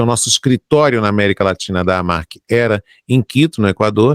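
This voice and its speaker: A man with an ordinary speaking voice talks at a fairly quick pace and fairly low pitch on a very clean recording with a silent background and a dry, close sound with no echo. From Brazil, Rio de Janeiro. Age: 60s. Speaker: journalist and broadcaster. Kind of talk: interview.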